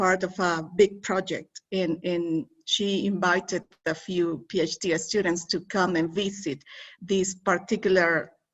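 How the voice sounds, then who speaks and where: Someone with a Spanish accent talks at a fairly slow pace with fairly even intonation. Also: woman. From Mexico. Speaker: academic interviewer. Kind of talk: academic conversation. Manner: halting.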